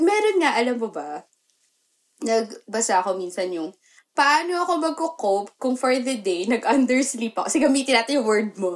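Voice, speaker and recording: Very wide pitch swings at a moderate pace. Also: woman, high pitch for a woman. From Philippines. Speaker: English teacher. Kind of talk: casual chat.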